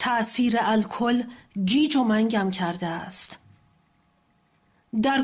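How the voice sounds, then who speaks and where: A somewhat breathy woman speaks at a very slow pace, her fairly high pitch showing ordinary variation. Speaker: translator. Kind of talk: poetry reading.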